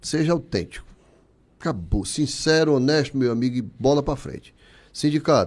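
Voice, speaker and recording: This man has an ordinary speaking voice, pitched fairly high. He speaks at a moderate pace with ordinary pitch variation. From Ceará, Brazil (Barro, interior). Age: 60s. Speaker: business owner and trade association leader. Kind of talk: casual interview.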